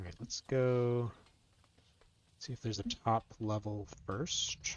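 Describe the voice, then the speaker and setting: Soft-spoken, a man keeps a fairly slow pace. His intonation stays fairly even. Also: medium pitch for a man. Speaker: game streamer. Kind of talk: live gameplay commentary. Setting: live stream.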